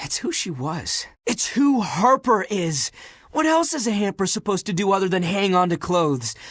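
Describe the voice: A man does a put-on character voice, high in pitch with big pitch swings, a fairly bright tone and a moderate pace, captured in a very clean recording with a silent background.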